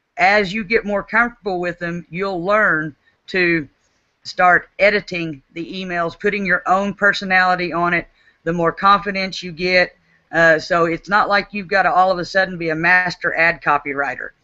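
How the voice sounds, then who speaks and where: Speaking with an Oklahoma accent, a woman of medium pitch keeps a moderate pace and fairly even intonation. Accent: Oklahoma country. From Oklahoma, US. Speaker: network marketing team leader. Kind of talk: webinar talk. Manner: repetitive stammering restarts.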